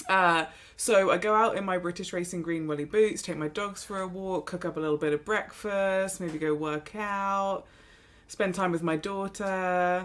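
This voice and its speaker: A woman of medium pitch talks in an English accent with fairly even intonation. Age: 30s. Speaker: golf podcast co-host. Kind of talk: casual chat.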